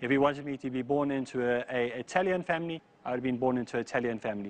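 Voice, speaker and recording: This man talks very fast, his fairly high pitch moving with ordinary variation. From South Africa. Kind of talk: personal testimony.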